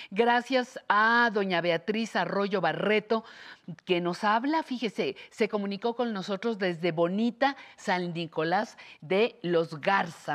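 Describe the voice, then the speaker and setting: Here is a woman with a normal speaking voice. Her pitch is medium with ordinary variation. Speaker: TV host. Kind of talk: talk show interview. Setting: TV studio.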